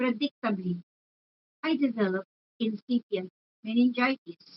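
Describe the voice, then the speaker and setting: At a moderate pace, a woman speaks in a somewhat breathy voice with a fairly high pitch. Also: ordinary pitch variation. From Philippines, Manila. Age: 70s. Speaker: testimony speaker. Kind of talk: testimony. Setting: faith conference. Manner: formal.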